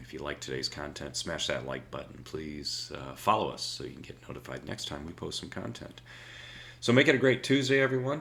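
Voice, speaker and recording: A man's put-on character voice, raspy and fairly low, fairly quick, with very wide pitch swings and big swings in loudness. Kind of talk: casual presenter, sign-off tone.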